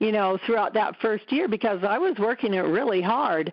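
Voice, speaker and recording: A woman speaks at a fairly high pitch. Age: 60s. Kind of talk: testimonial interview answer. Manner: casual, conversational.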